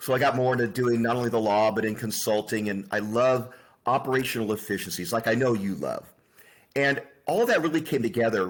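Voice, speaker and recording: A man talks at a fairly quick pace in a normal speaking voice, medium in pitch. The recording is very clean, with a silent background. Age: 60s. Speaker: attorney and business founder. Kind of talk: interview.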